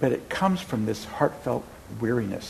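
Somewhat breathy, a man speaks at medium pitch and a moderate pace with lively intonation. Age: 70s. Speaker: meditation teacher. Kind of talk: dharma talk. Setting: meditation center with audience. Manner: conversational, storytelling.

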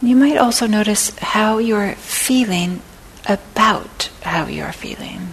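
A woman's very slow delivery in a calm, gentle tone, with ordinary pitch variation, big swings in loudness, and noticeable background noise. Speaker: meditation teacher. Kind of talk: guided meditation. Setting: meditation center talk, recorded for an audience. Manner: slow, calm, soft-spoken; gentle, with long pauses.

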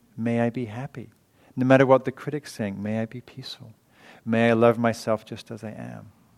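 The recording is dry and close, with no echo. A man at medium pitch moves at a fairly quick pace with monotone, flat intonation. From England. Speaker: meditation teacher and author. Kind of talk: dharma talk. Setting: meditation hall with audience.

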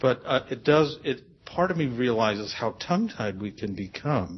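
A somewhat breathy man's voice at a fairly slow pace, with lively intonation. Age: 60s. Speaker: audience member. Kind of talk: question from audience. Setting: meditation center with audience.

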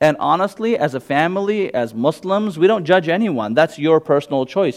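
A man with a Gujarati accent at a moderate pace, with lively intonation. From US West Coast (California), born in England to Indian parents. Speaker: imam. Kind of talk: public talk followed by audience Q&A. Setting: meditation center, audience present, microphone. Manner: casual, conversational.

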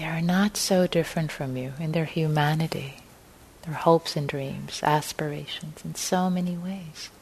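A woman's very deep, low voice, somewhat breathy, with a warm, soothing tone and fairly even intonation. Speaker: meditation teacher. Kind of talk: gentle guided meditation leading a group into compassionate listening. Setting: meditation hall with live group. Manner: slow, soothing, spacious phrasing with breath-paced pauses; warm, informal and chatty between practices, with fillers.

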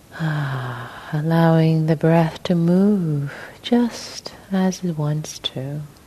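A woman speaks at a very slow pace in a gentle, calm tone, her very deep, low pitch moving with ordinary variation over noticeable background noise. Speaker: meditation teacher. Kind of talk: guided meditation. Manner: slow, soft, gentle, calm; pausing, sighing between phrases.

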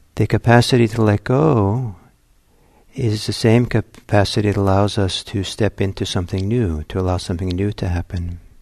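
Over music in the background, a man speaks in a calm tone with fairly even intonation. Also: fairly low pitch for a man. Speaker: meditation teacher. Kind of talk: guided meditation. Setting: meditation center, recorded talk. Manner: slow, calm, soft-spoken, with long pauses.

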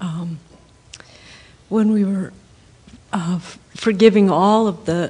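Fairly even intonation from a woman, with noticeable noise in the background. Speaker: audience participant. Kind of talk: casual sharing in group.

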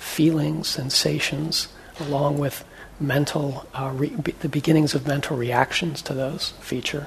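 There is noticeable background noise as a man talks in a fairly high pitch with monotone, flat intonation. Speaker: meditation teacher. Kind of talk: dharma class teaching. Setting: classroom with microphone.

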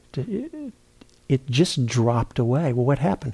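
A man with a medium pitch and a dark, mellow tone sounds somewhat breathy as he talks at a moderate pace. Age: 60s. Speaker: meditation teacher. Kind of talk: dharma talk. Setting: retreat center. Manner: halting.

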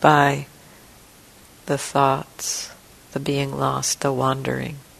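A woman speaks very slowly in a gentle tone, with lively intonation. Her voice is very deep and low, set against noticeable background noise. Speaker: meditation teacher. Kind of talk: guided meditation. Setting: meditation hall retreat. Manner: slow, gentle, soft-spoken, with long pauses; calm, soothing, tentative, suggesting with 'maybe'.

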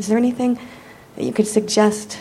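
A woman speaks in an ordinary speaking voice at a fairly high pitch. Her pace is fairly quick. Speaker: middle school science teacher, audience member.

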